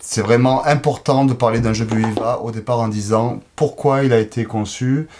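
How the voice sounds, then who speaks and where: Speaking with a Provençal accent, a man keeps a medium pitch, moderate pace and fairly even intonation, with hardly any pauses. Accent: southern French, Provence. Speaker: board game publisher representative. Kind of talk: casual interview presenting products.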